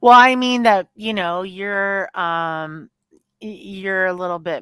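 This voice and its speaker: This woman's voice sits at a medium pitch. Her intonation is lively. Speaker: livestream host. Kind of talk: casual chat. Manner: slow.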